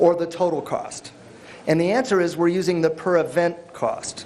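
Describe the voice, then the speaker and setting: A man speaks loudly, with audible room echo. Noticeable background noise runs underneath. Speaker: workshop presenter. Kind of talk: workshop lecture.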